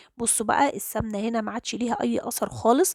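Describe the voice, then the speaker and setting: At a moderate pace, a woman with an Egyptian accent speaks in a fairly high pitch, the sound dry and close with no echo. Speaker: cooking channel host. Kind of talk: cooking tutorial.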